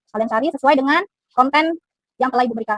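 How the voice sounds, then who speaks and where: A woman talks at a very fast pace in a high pitch with an upbeat tone. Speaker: biology teacher. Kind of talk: classroom teaching to students. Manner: upbeat, encouraging.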